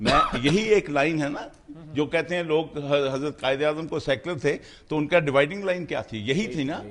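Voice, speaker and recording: Noticeable background noise behind a man's fairly high voice, ordinary pitch variation, moderate pace. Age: 70s. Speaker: political talk show panelist. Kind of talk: heated debate. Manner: halting.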